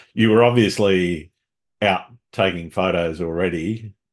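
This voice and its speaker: Spoken with an Australian accent, the voice keeps a fairly even intonation. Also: man. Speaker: podcast host, landscape photographer. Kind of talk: casual interview chat.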